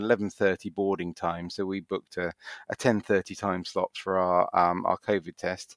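In a dry, close sound with no echo, a man with a British accent talks at a moderate pace. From UK. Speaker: cruise passenger. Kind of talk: casual interview. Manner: halting, many fillers and repeats.

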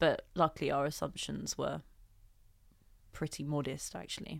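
A woman's very deep, low voice in a London accent, bright and sharp in tone, with vocal fry, at a fairly slow pace, on a very clean recording with a silent background. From Southeast London. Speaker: entrepreneur. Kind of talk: interview. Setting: studio. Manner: thoughtful, deliberate; occasional stutter.

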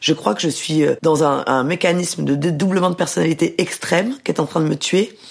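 A woman with a fairly low pitch and ordinary pitch variation, at a moderate pace with hardly any pauses and very even loudness, over noticeable background noise. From southern France, Mediterranean island (Var). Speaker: novelist and journalist. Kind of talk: interview.

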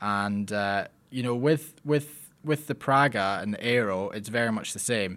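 A man's medium-pitched voice in a Scottish accent, fairly slow in pace with ordinary pitch variation, in a very clean recording with a silent background. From Scotland, Lockerbie. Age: young. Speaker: racing driver. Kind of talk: interview.

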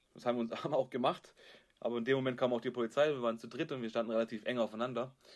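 Speaking at a very fast pace, a man with a medium pitch keeps his intonation fairly even. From Stuttgart area, Germany. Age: 30s. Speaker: podcast co-host. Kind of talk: casual chat. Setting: video call.

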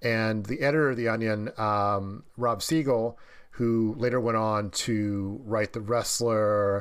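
In a very clean recording with a silent background, a man with a Midwestern American accent talks fairly slowly at a fairly low pitch with fairly even intonation. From US Midwest (Dayton, Ohio). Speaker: film critic and author. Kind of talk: casual interview. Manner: halting, many fillers and repetitions.

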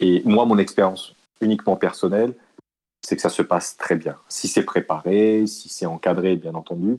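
A man's fairly low, dark, mellow voice at a moderate pace, with fairly even intonation. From West Africa, Côte d'Ivoire and Cameroon. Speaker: entrepreneur. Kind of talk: interview. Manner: halting, many repetitions.

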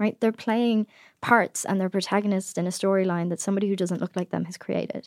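A woman with an Irish accent and a medium pitch speaks at a very fast pace with fairly even intonation, in a very clean recording with a silent background and a dry, close sound with no echo. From Ireland. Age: 20s. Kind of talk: interview conversation. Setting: studio.

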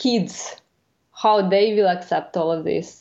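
A woman with a Ukrainian accent talks at a medium pitch and fairly slow pace, keeping her intonation fairly even. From Ukraine. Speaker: climate scientist. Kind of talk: interview.

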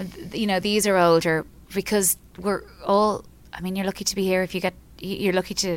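A woman at medium pitch and a fairly quick pace, with little pitch movement

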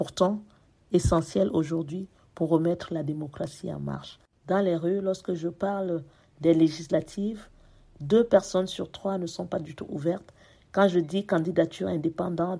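Her tone is dark and mellow, with a fairly low pitch for a woman. She talks at a fairly slow pace with fairly even intonation. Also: quiet background. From France, Paris. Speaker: parliamentary candidate. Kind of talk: prepared speech. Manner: formal.

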